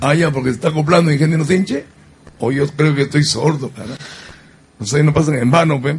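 A man at a very fast pace, broken by long, frequent pauses. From Peru, Lima. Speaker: sports radio host. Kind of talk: sports radio show. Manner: animated.

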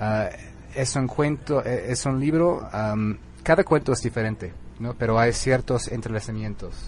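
The speaker is a man with an English accent. He goes at a fairly slow pace. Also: medium pitch for a man, ordinary pitch variation. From US Northeast (Connecticut). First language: English (speaking Spanish). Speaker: author. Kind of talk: radio interview. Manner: halting, with fillers.

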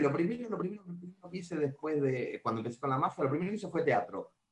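With an Argentine accent, a man speaks very fast in a fairly high pitch and lively intonation. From Argentina. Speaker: magician and clown. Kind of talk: casual interview. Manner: halting, repetitive.

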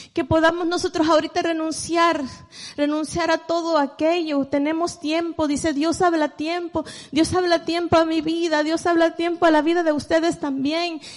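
A woman with an extremely high pitch, monotone and flat intonation, and a moderate pace, amid noticeable background noise. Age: 40s. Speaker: preacher. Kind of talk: sermon.

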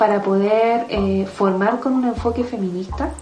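Over noticeable background noise and audible room echo, a woman speaks at a fairly slow pace with ordinary pitch variation. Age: 40s. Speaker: life coach. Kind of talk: interview conversation.

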